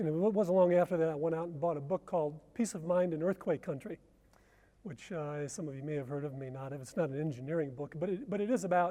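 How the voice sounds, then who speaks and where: At a very fast pace, a man with an American accent and a high pitch speaks in a dark, mellow tone, his loudness swinging widely and his pitch varying in an ordinary way over a quiet background. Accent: American, noticeable. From US Midwest, Detroit. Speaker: researcher and conference speaker. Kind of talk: conference presentation.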